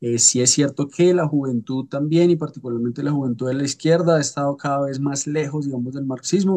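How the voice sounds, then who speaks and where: A man with a Colombian accent speaks in a fairly high, dark, mellow voice. His intonation stays fairly even. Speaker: political scientist, seminar participant. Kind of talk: seminar introduction. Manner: hesitant, many fillers.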